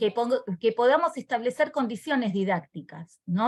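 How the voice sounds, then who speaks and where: A woman's voice, high in pitch. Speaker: teacher trainer. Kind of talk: online workshop presentation.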